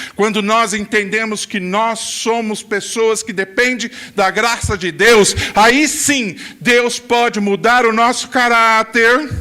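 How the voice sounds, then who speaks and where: A man projects a raised, high-pitched voice at a very slow pace. His intonation stays fairly even while music plays in the background. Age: 60s. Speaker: pastor. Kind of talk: sermon. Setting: church.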